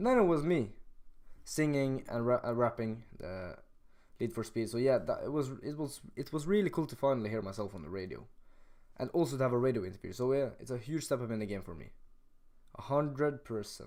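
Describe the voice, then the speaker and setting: A man's medium-pitched, dark and mellow voice with a Norwegian accent, lively intonation and a fairly quick pace. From Norway. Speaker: rapper and streamer. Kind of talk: live stream chat. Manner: halting, many fillers.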